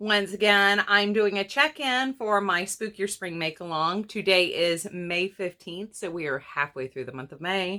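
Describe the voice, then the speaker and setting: A raspy put-on character voice from a woman, medium-pitched, at a moderate pace with hardly any pauses. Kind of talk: casual. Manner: talking fast.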